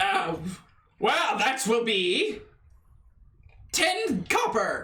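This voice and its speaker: Loud and very slow, a man puts on a character voice at an extremely high pitch with very wide pitch swings and slight echo. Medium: actual play. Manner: loud, pushy salesman.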